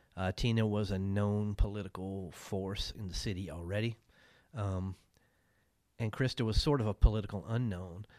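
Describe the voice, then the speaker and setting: A man speaks with fairly low pitch and fairly even intonation. It is an unremarkable speaking voice. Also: moderate pace, very clean recording, silent background. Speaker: newspaper reporter. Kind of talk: interview.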